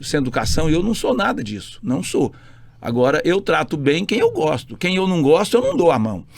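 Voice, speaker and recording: Very wide pitch swings run through a man's speech. He keeps a moderate pace. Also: fairly high pitch for a man. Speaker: state politician. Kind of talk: casual interview chat. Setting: podcast studio. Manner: loud; forceful, sounds like arguing.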